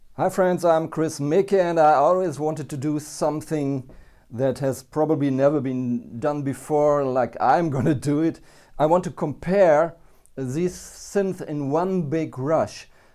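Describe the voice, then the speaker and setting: A man's fairly high voice in a dark, mellow tone with a non-native accent, at a fairly slow pace, in a very clean recording with a silent background. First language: not English. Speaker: synthesizer reviewer. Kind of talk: product review. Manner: halting, many fillers.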